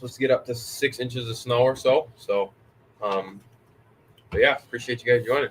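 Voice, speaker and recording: A man speaks in a somewhat breathy voice with fairly even intonation. His speech has long, frequent pauses. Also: medium pitch for a man, fairly quick pace. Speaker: RC hobby livestreamer. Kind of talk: casual live stream chat.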